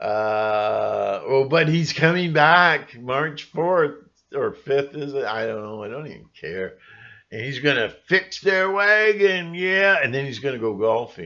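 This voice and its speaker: Mumbling at a fairly slow pace, the speaker has a bright, sharp, animated tone with very wide pitch swings and big swings in loudness over a quiet background. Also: man, fairly high pitch for a man. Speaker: conspiracy vlogger. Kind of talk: casual vlog monologue. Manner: rambling, self-described mumbling; animated, mocking voices.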